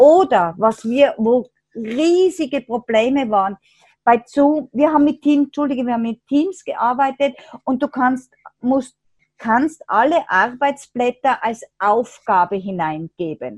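Her pitch high and her intonation lively, a woman speaks at a very slow pace in dry, close sound with no echo. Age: 60s. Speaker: teacher of an integration class. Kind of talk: interview.

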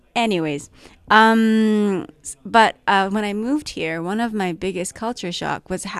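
A woman speaks with a Japanese accent at a medium pitch. Her pace is fairly slow, with ordinary pitch variation. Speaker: filmmaker and actor. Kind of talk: casual interview.

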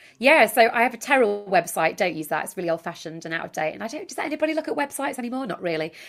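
Speaking in a Yorkshire accent, a woman rushes along at a very fast pace with hardly any pauses. Her fairly high pitch swings very widely, and her loudness swings a lot too. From Yorkshire, northern England. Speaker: author and dating consultant. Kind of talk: podcast interview.

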